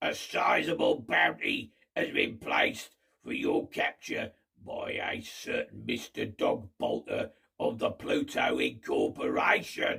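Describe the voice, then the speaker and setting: A man uses a raspy put-on character voice, raised and projected, at a fairly slow pace. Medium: read story. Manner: self-important, commanding.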